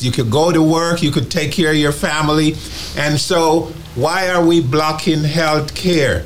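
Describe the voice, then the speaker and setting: A man's fairly high voice at a fairly slow pace, with audible room echo and noticeable background noise. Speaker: retiree activist. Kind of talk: testimony. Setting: studio. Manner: animated.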